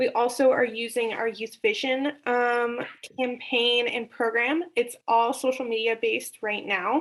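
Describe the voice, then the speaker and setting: On a very clean recording with a silent background, a woman speaks in an unremarkable speaking voice at a fairly high pitch. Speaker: regional representative for youth prevention nonprofit. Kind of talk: meeting report.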